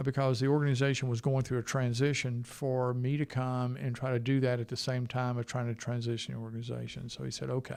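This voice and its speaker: A man with a Southern US accent and medium pitch talks very fast in a monotone, flat delivery with hardly any pauses. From US South. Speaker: health IT executive. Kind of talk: interview conversation. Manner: hesitant, filler-heavy.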